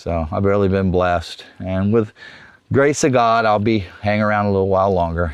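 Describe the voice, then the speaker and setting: Speaking at a fairly quick pace in a Florida accent, a man with a fairly low pitch uses ordinary pitch variation. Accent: Southern US, rural Florida. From South Florida, Everglades. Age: 60s. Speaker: wildlife researcher and Everglades local. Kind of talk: casual interview. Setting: outdoors.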